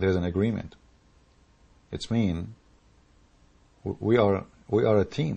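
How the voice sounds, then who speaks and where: A man with an Arabic accent speaks at a fairly slow pace with long, frequent pauses, his fairly low voice somewhat breathy, with a dark, mellow tone. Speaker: political commentator. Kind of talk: political rant. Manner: animated.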